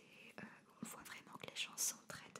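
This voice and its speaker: A woman whispers, soft-spoken, at a moderate pace. Noticeable background noise runs behind her. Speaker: ASMR content creator. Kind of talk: casual interview chat. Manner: soft whispered ASMR talk. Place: studio. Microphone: studio mic.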